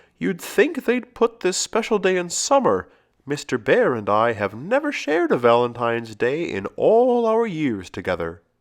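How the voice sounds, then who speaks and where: Against a quiet background, a man does a put-on character voice at a high pitch and a moderate pace. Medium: read story.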